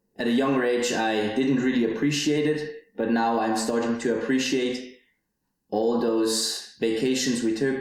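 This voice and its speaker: A man's medium-pitched voice at a very slow pace, fairly even in intonation, with audible room echo. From Switzerland, Zurich area. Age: 20s. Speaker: podcaster, university student. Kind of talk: personal monologue podcast. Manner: some hesitations and repeated words.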